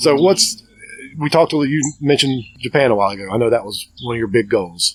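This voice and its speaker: With a Southern accent, a man speaks at a medium pitch and a fairly quick pace. His intonation is lively. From US South, Cleveland County, North Carolina. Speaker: podcast host. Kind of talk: casual interview chat. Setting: outdoors in a backyard. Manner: halting, many restarts.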